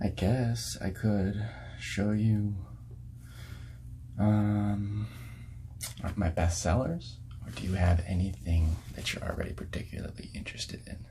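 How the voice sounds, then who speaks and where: A man talks at a fairly slow pace with lively intonation and noticeable background noise behind him. His speech has long, frequent pauses. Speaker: ASMR artist playing a record store clerk. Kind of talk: ASMR role-play, soft-spoken customer service talk. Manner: whispered, soft-spoken.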